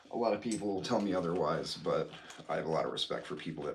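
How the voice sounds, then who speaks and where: Amid noticeable background noise and audible room echo, a man with an American accent speaks at a very fast pace. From Illinois. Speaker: knife collector and balisong flipper. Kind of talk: casual livestream chat. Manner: casual, filler-heavy.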